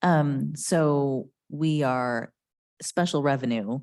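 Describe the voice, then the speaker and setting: A quiet woman's voice with ordinary pitch variation is heard in a very clean recording with a silent background. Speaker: county health department official. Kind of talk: public meeting presentation. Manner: quiet, hard to hear.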